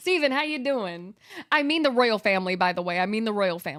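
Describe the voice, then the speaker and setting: A woman speaks with a fairly high pitch and lively intonation. It is a plain, everyday voice. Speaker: game streamer. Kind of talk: casual chat. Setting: live stream.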